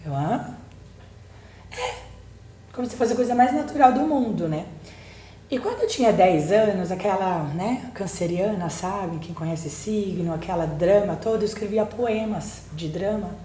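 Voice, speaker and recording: Lively intonation at a fairly slow pace, broken by long, frequent pauses, with audible room echo and noticeable background noise. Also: woman, medium pitch for a woman. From Germany, then Brazil. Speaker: psychologist, book co-author. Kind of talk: podcast interview.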